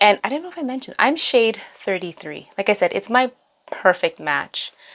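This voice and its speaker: A fairly high-pitched woman talks at a moderate pace with vocal fry, very wide pitch swings and big swings in loudness. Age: 30s. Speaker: beauty vlogger. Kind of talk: makeup tutorial. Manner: casual, chatty.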